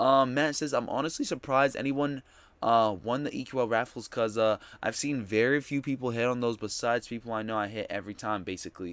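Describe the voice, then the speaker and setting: Talking at a very fast pace, a man is heard on a very clean recording with a silent background. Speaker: sneaker livestream host. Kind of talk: livestream chat reading. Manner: casual, conversational.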